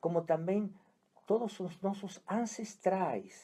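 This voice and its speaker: This man's tone is dark and mellow, and he talks very slowly. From Argentina, Buenos Aires. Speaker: psychiatrist, family constellation therapist. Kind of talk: radio interview. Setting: radio studio.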